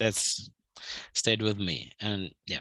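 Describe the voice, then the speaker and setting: In a Russian accent, a man with a fairly low pitch and a bright, sharp tone speaks at a very slow pace, the sound dry and close with no echo. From southern Ukraine, Mykolaiv. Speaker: manuscript researcher. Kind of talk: video call presentation.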